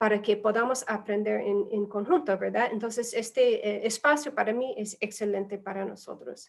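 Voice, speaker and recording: A woman with a non-native accent speaks at a fairly high pitch and moderate pace, with hardly any pauses. Her voice shows vocal fry and ordinary pitch variation. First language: not Spanish (speaking Spanish). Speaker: humanitarian aid specialist. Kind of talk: webinar presentation. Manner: halting, many fillers.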